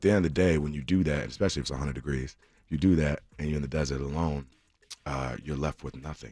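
A man's very deep, low voice with an American accent, dark and mellow in tone, fairly even in intonation, at a very fast pace. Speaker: singer. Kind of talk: radio interview; station ID and song intro. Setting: radio studio.

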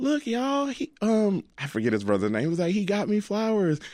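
With an American accent, a man talks at a fairly quick pace with very wide pitch swings. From Alabama, US South. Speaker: florist. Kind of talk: interview.

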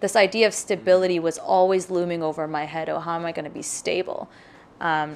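Here is a woman with an unremarkable speaking voice. She talks at a moderate pace. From Pakistan, moved to Mississauga, Canada at about nine. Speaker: visual artist. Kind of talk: interview.

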